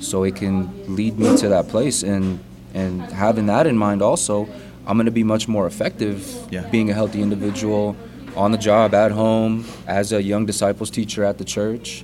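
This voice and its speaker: Over noticeable background noise, a man with a fairly low pitch speaks at a moderate pace with ordinary pitch variation. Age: 30s. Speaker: aerospace engineer and church member. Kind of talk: casual chat.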